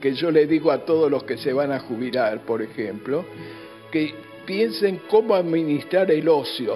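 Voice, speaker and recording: A man speaks at a fairly high pitch. Music can be heard in the background. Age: 80s+. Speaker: retired pediatric doctor. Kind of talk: interview answer.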